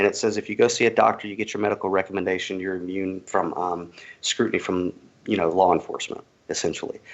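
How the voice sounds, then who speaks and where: In a Southern US accent, a man with a fairly low pitch talks at a very fast pace with a monotone, flat intonation. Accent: Southern US accent, thinner than host's. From US South, Georgia. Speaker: cannabis activist. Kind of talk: interview.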